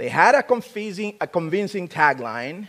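The speaker is a man. He talks at a high pitch. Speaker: preacher. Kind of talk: sermon. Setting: church.

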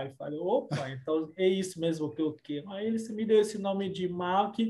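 A man speaks at a moderate pace. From DR Congo, Kinshasa. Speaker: lawyer. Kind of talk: interview. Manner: halting.

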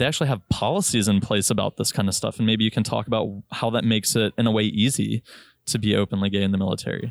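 Very fast and very even in loudness, a man with an American accent speaks at fairly low pitch with vocal fry and fairly even intonation, the sound dry and close with no echo on a very clean recording with a silent background. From Virginia. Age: 20s. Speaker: airline pilot. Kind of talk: casual chat.

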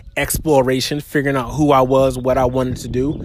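At a moderate pace, a man with a fairly high pitch talks in an animated tone over noticeable background noise. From US, military family; teen years in South Carolina. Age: 30s. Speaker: podcast host. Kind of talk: casual monologue. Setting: outdoors, walking while recording.

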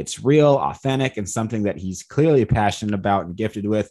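Against a quiet background, a man talks at a fairly quick pace in a plain, everyday voice, fairly low in pitch with ordinary pitch variation. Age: young. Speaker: podcast host, bodybuilding coach. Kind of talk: scripted intro; interview.

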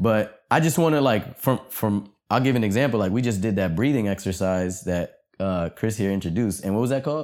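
In a very clean recording with a silent background, a man with an ordinary speaking voice and fairly low pitch moves at a fairly quick pace with hardly any pauses, very even loudness and ordinary pitch variation. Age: young. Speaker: college student. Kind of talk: casual chat.

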